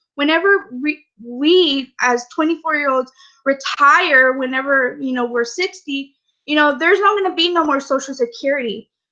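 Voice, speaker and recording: Raised and projected, a woman's high-pitched voice has a bright, sharp tone, ordinary pitch variation and a moderate pace. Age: 20s. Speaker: network marketing member giving testimony. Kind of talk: testimony. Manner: halting, many fillers.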